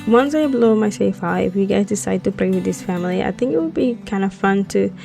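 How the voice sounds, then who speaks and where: Someone with a non-native accent speaks over music in the background. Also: woman. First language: not English. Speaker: Sims builder, YouTuber. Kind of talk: casual voiceover for a speed build. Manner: hesitant, many fillers.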